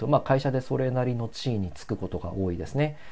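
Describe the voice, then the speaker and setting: A man speaks at a fairly quick pace with lively intonation and a medium pitch. His voice is somewhat breathy. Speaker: solo podcaster. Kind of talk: casual solo talk. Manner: relaxed, many filler sounds; calm.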